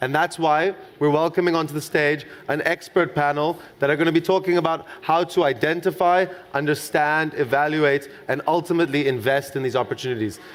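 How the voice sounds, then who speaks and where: This man talks at a fairly quick pace with a South African accent and a fairly high pitch. His intonation stays fairly even and his loudness very even. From South Africa, Cape Town. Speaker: conference moderator. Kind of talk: stage announcement.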